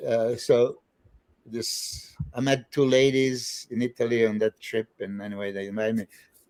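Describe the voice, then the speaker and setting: Moderate-paced male speech with ordinary pitch variation. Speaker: bodybuilder and trainer. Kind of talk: casual podcast interview, storytelling. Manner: animated, hesitant with fillers.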